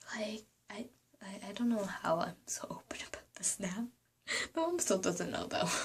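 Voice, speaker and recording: A woman speaks quietly at medium pitch and a moderate pace, with lively intonation and long, frequent pauses. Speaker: vlogger. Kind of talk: casual vlog talk. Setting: apartment room. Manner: quiet, hushed; hesitant, many ums.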